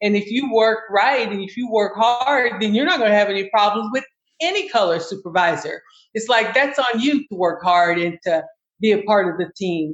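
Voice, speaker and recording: A woman with an American accent has an ordinary speaking voice, medium in pitch, at a moderate pace with ordinary pitch variation. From US South, Kentucky. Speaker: navy veteran. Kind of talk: casual chat.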